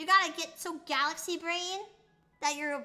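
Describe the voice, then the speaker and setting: A woman with an American accent speaks in a raised, projected voice at a moderate pace. Her tone is playful and animated, with music in the background. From United States. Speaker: VTuber streamer. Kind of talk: casual live stream chat. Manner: playful, animated.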